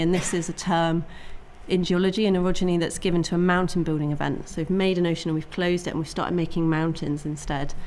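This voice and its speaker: Audible echo fills the room as a woman speaks at a very fast pace. Her voice is fairly low in pitch. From Cornwall (Penwith). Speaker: geologist. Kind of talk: lecture. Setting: talk event with audience.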